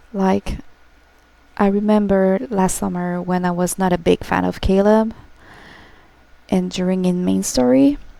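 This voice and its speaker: A woman with a French accent at a moderate pace. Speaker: gaming streamer. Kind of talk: emotional livestream talk to viewers. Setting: livestream. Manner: halting.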